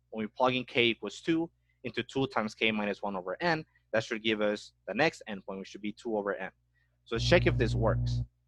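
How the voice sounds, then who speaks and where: Music plays in the background while a man talks at a fairly quick pace. The sound is dry and close, with no echo. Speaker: math teacher. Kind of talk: lecture. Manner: fast.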